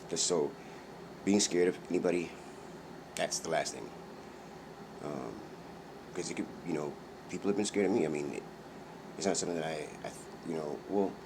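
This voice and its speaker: Long, frequent pauses within a fairly quick pace. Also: man, very deep, low pitch for a man, ordinary pitch variation. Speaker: vlogger. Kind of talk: personal monologue vlog. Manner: fast; halting, many fillers and restarts.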